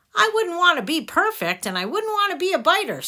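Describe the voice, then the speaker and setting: Using a put-on character voice, a woman talks at a fairly quick pace in an extremely high pitch. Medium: read story. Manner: brisk, no-nonsense.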